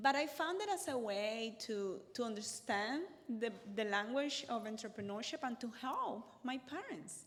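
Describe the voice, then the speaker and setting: Speaking at a moderate pace with a Cuban accent, a woman uses a fairly high pitch and lively intonation. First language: Spanish. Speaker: accountant and business workshop speaker. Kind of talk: workshop talk.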